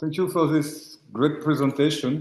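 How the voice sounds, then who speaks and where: This man's tone is dark and mellow. He talks at a fairly slow pace in a monotone, flat way. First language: French. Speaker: visual artist. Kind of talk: lecture. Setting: hybrid lecture event. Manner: halting, searching for words.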